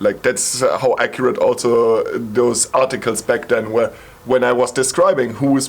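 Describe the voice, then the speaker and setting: A man speaks with a German accent and fairly even intonation. Noticeable background noise is present. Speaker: psytrance producer and YouTuber. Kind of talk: video monologue response. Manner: casual.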